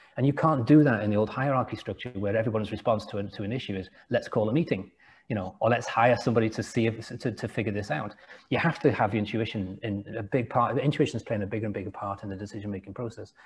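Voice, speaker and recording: At a very fast pace, a man speaks with a somewhat breathy voice. His pitch is medium, with ordinary variation. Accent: English. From England, Liverpool area. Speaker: entrepreneur and company founder. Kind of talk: interview conversation. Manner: repetitive, hesitant restarts.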